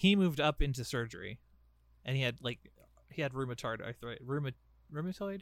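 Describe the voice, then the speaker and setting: A man's very fast voice at a medium pitch, with ordinary pitch variation. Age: 20s. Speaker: podcast co-host. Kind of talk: casual chat.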